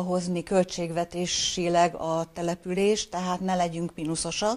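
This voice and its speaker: At a fairly slow pace, a woman speaks in a medium pitch. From northeastern Hungary. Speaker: retired mayor and former teacher; former mayor. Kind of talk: interview. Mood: calm, friendly. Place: office.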